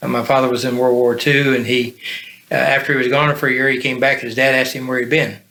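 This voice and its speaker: The man's monotone, flat intonation comes through noticeable background noise. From US, military family, moved often; high school in Alaska. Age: 70s. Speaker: volunteer in a recovery ministry. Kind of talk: podcast interview, life story. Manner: halting, many fillers.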